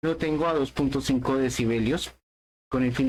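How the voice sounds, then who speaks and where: A man delivers his words at a fairly slow pace. His intonation is fairly even. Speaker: tech podcast host. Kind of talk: tutorial.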